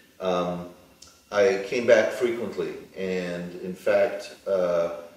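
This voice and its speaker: A man with a New York accent speaks at a very slow pace. Audible room echo and noticeable background noise surround him. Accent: American, New York. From US, New York. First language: Hebrew. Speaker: plastic surgeon. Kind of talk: interview. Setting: studio. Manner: halting.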